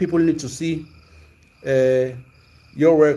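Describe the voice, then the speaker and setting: A very slow, monotone, flat delivery in a dark, mellow tone, with audible room echo. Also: man. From South Africa, Zulu. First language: Zulu. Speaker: sports commentator, livestream host. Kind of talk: casual livestream chat. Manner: hesitant, many fillers and repetitions.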